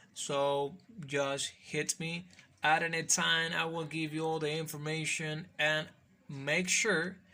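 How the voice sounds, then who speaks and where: A man speaks at a fairly high pitch with a non-native accent. His tone is bright and sharp, and his intonation monotone and flat. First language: Spanish. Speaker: call center worker and YouTuber. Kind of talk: casual vlog. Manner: halting, with fillers.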